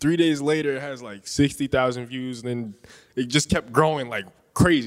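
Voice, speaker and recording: A man with an unremarkable speaking voice talks at a moderate pace and medium pitch with ordinary pitch variation. His loudness swings widely. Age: 20s. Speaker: social media creator. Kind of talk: live podcast conversation. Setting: stage with live audience.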